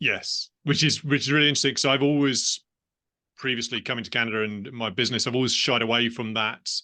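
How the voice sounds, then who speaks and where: Against a quiet background, a man with a British accent talks at a very fast pace, his medium-pitched voice bright and sharp in tone, with fairly even intonation. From England, London. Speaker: business owner. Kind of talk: interview conversation.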